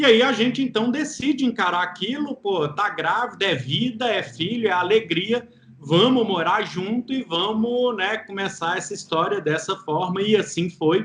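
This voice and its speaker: With a Minas Gerais accent, a high-pitched man talks at a moderate pace with lively intonation and hardly any pauses, over noticeable background noise. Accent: mineiro accent, noticeable. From Minas Gerais, Brazil. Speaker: entrepreneur and single father. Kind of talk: interview testimony. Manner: cheerful, relaxed.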